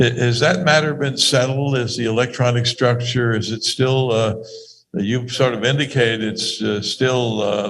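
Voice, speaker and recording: Medium-pitched male voice at a moderate pace, fairly even in intonation, with audible room echo. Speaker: scientist asking questions. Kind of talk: academic Q&A. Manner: loud; halting.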